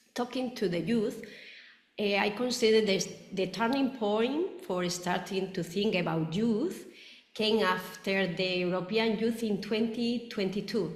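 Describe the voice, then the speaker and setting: Amid audible room echo and noticeable background noise, a woman of medium pitch speaks at a fairly slow pace with ordinary pitch variation. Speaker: roundtable moderator. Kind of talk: webinar moderation. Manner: halting.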